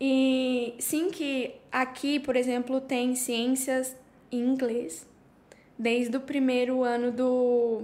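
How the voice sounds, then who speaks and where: A woman's high-pitched voice at a very slow pace, monotone and flat in intonation, with very even loudness. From Brazil, Curitiba (Paraná). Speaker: teacher and social media creator. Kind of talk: casual chat.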